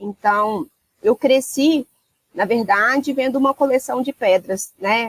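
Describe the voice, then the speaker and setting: A woman's high-pitched voice with a Minas Gerais accent, at a very slow pace with ordinary pitch variation, in dry, close sound with no echo. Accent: Minas Gerais (mineiro) accent, noticeable. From Minas Gerais, Brazil (Rio Acima, near Belo Horizonte). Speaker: mining compliance executive. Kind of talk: interview.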